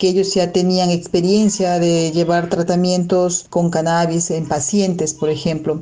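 A woman speaks in a medium pitch at a fairly slow pace. Her intonation stays fairly even. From Peru. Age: 40s. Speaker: alternative medicine therapist. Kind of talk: personal testimony. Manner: hesitant, with repetitions.

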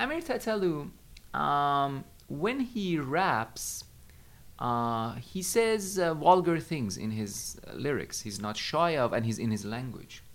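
A man speaks at a medium pitch with a Persian accent. His pitch swings very widely. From Iran, Tehran. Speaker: teacher. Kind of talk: interview conversation. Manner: hesitant, many fillers.

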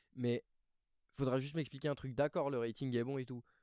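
The man's tone is dark and mellow, and the sound is dry and close with no echo. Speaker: basketball podcast co-host. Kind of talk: casual chat.

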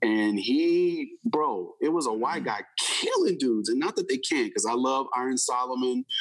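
A man talks at a moderate pace with hardly any pauses and very even loudness. Noticeable background noise runs behind him. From Houston, Texas. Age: 40s. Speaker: hip hop artist. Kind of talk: interview.

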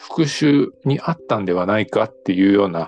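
The pitch of this man's voice swings very widely. He keeps his delivery at a moderate pace. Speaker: novelist. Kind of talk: author interview. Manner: measured with frequent fillers.

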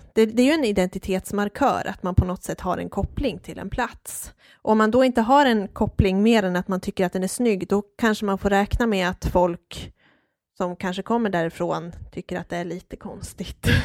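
With an ordinary speaking voice, a woman of medium pitch talks at a moderate pace with ordinary pitch variation, heard in a very clean recording with a silent background and a dry, close sound with no echo. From Dalarna, Sweden (Hedemora). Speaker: podcast co-host on folk costume. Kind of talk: casual chat.

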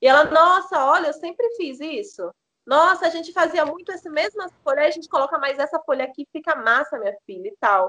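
A woman speaks in a raised, projected voice with a high pitch and a bright, sharp tone, her pitch swinging very widely and her loudness in big swings. She moves at a fairly quick pace, and the sound is dry and close with no echo. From Maranhão, Brazil. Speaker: doula and holistic health entrepreneur. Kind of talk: podcast interview.

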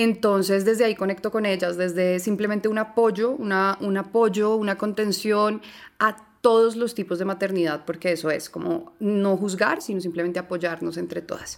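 A woman speaks at a moderate pace and medium pitch. She has an ordinary speaking voice with ordinary pitch variation. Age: 30s. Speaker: journalist and doula. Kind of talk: interview.

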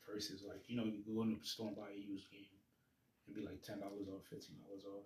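Very fast, somewhat breathy speech from a man. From Jamaican heritage. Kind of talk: casual chat.

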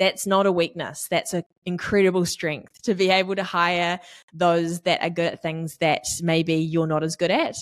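The recording is very clean with a silent background as a woman speaks at a fairly low pitch and moderate pace, her intonation flat and monotone. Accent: New Zealand. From New Zealand, East Auckland. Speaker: business community manager. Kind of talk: interview.

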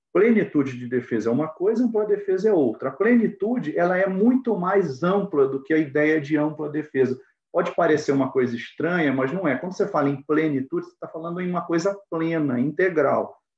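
A man speaks at a high pitch, with big swings in loudness. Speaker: judge and law professor. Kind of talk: lecture-style interview. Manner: halting.

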